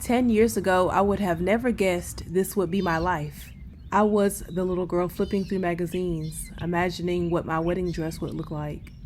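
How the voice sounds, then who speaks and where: In a normal speaking voice, a woman with a fairly low pitch talks at a moderate pace with fairly even intonation. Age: 30s. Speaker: travel vlogger. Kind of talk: scripted narration. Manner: reflective.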